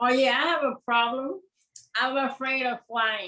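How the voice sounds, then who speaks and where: A woman with a high pitch and a bright, sharp tone raises and projects her voice, speaking at a fairly slow pace with ordinary pitch variation. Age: 70s. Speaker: client getting a psychic reading. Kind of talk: casual chat.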